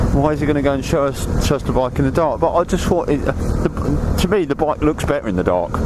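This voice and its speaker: Lively intonation from a man, noticeable noise behind him. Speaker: motovlogger. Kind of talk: casual vlog. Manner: soft-spoken; halting.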